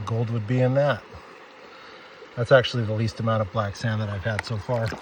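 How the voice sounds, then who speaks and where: The delivery is monotone, with flat intonation, at a fairly quick pace. Noticeable background noise runs underneath. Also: man, medium pitch for a man. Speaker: gold prospecting vlogger. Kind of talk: outdoor tutorial vlog.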